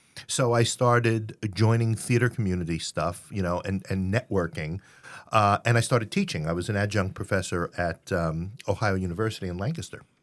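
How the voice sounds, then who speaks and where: A man's fairly low voice with a New York accent on a very clean recording, silent background. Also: ordinary pitch variation, fairly quick pace. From New York City (Queens). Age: 60s. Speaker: theater company founder and playwright. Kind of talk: interview. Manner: halting, many fillers.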